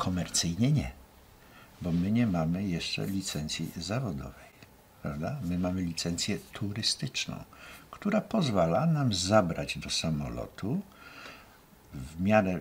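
A man's very deep, low, somewhat breathy voice, very slow pace and lively intonation, with light background noise. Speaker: guest. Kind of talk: interview answer. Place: studio.

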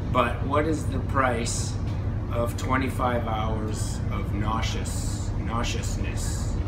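A man's voice over background music. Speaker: travel vlogger. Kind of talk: casual vlog chat. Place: boat. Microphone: phone near.

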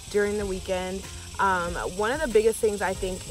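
A woman talks at a fairly quick pace with clear music in the background. The sound is dry, with no echo. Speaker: fitness vlogger. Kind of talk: casual vlog tips. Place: open country. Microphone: phone near.

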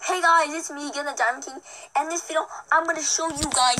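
A put-on character voice rattles along at a very fast pace. It is high-pitched and squeaky.

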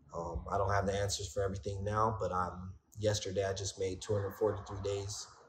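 A man's fairly low, somewhat breathy voice over light background noise. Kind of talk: testimonial interview answer. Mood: reflective, earnest. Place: home room. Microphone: phone near.

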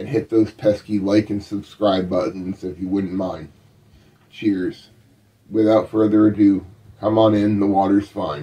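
A man speaks at a fairly slow pace with a fairly low pitch. His tone is dark and mellow, and his intonation stays fairly even. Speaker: internet radio host. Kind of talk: show intro. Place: home room. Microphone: studio mic.

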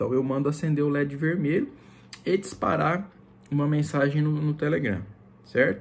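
Somewhat breathy, a man talks at a moderate pace. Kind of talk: tutorial. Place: home room. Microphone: phone near.

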